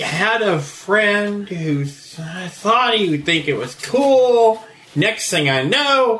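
A man puts on a character voice, high in pitch and delivered at a fairly slow pace. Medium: actual play. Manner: rambling, flustered.

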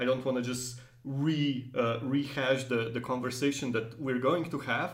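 A man at a medium pitch and moderate pace, with fairly even intonation and noticeable background noise. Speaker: podcast host. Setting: in person, museum studio.

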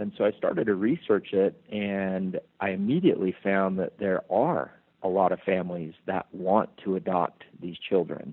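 Intonation remains fairly even at a moderate pace. It is an ordinary speaking voice. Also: man, fairly low pitch for a man. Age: 30s. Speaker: business executive and charity founder. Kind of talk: interview.

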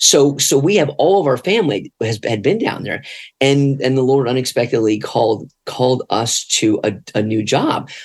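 An unremarkable speaking voice from a man, medium in pitch, at a moderate pace with lively intonation. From north New Jersey and Florida. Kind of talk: casual interview.

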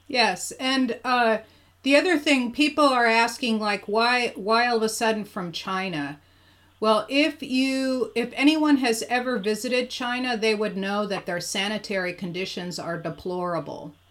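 With lively intonation, a woman talks at a moderate pace in a fairly high pitch, a plain, everyday voice. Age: 60s. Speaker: podcast host and energy healer. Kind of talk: interview. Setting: video call.

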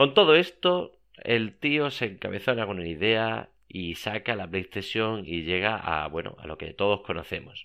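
A man's fairly low voice at a fairly slow pace, with very wide pitch swings, big jumps in loudness and hardly any pauses. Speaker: podcast host. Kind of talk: casual monologue. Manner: repetitive, halting.

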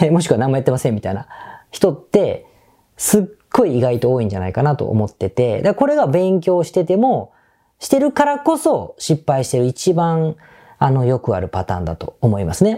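In a very clean recording with a silent background, a man talks fairly quickly with a dark, mellow tone, a fairly high pitch and very wide pitch swings. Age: 50s. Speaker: business podcast host. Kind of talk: solo podcast monologue. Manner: casual conversational.

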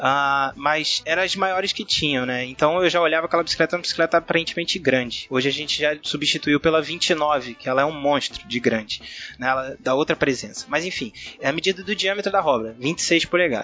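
Music plays in the background. A man talks at a fairly quick pace with a fairly high pitch and ordinary pitch variation. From Rio de Janeiro, Brazil. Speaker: cyclist. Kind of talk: casual chat.

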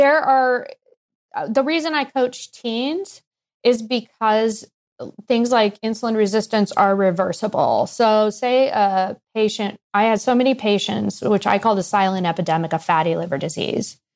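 A woman with an American accent, an ordinary speaking voice, fairly high pitch, ordinary pitch variation and a moderate pace. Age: 50s. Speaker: pediatrician and weight coach. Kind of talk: interview.

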